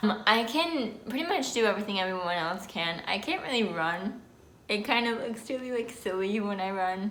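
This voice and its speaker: A bright, sharp tone comes through in this New Jersey accent, spoken at a moderate pace with audible room echo. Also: woman. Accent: New Jersey American. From New Jersey, US. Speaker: vlogger. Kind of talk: casual vlog talk. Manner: slightly slurred speech with pauses.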